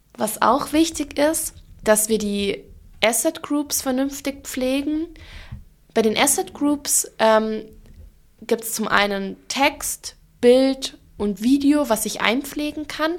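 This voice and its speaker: A woman speaks very slowly with a slight Allgäu accent, leaving long, frequent pauses. Her voice is high and her intonation lively. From Germany, Allgäu (Bavarian Swabia). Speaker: digital marketing manager. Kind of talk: expert interview.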